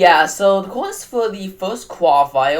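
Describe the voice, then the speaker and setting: Noticeable noise fills the background. A man talks with typical pitch movement. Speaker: podcast co-host. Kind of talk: casual chat.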